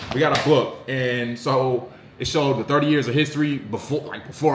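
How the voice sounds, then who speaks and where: Amid noticeable background noise, a man with an American accent speaks fairly quickly in an animated tone and a fairly high pitch. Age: 20s. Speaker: sports content creator. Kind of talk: casual commentary vlog.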